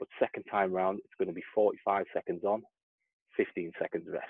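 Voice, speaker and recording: Against a quiet background, a man speaks at a moderate pace, the sound dry with no echo. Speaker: fitness coach. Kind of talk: workout tutorial. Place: garden. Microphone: earbuds.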